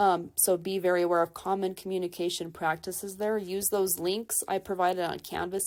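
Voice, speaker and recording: A woman at medium pitch, monotone and flat, at a fairly quick pace with hardly any pauses, on a very clean recording with a silent background. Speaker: college instructor. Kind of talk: lecture. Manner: fast.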